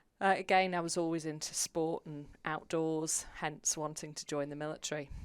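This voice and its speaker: In a British accent, a woman speaks at a moderate pace in a very deep, low, monotone voice, on a very clean recording with a silent background. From UK. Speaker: publicist, former navy officer. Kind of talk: interview.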